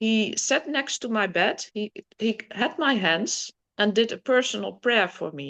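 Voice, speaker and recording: A woman in a Dutch accent speaks at a fairly slow pace with vocal fry, a fairly high pitch and very wide pitch swings. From Netherlands. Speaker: guest sharing spiritual healing experiences. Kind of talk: casual interview testimony. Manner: halting, searching for words.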